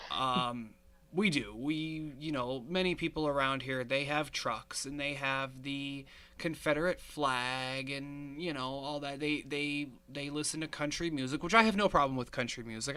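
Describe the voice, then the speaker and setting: In a Northeast Pennsylvania accent, a man speaks at a moderate pace with a fairly high pitch and a bright, sharp tone. The recording is very clean with a silent background. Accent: Northeast Pennsylvania American. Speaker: podcast host. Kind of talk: casual chat.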